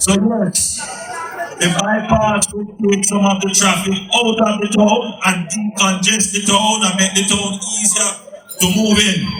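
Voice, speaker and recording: Against music in the background, a man speaks fairly slowly in a high, monotone voice with flat intonation. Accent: Jamaican. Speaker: politician. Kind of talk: political campaign speech. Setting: outdoors.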